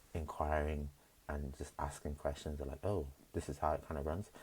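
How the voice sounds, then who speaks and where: The speaker is soft-spoken and somewhat breathy. The pace is fairly quick. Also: man. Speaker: vlogger, job-seeking service designer. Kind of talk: casual vlog monologue. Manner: hesitant, many fillers.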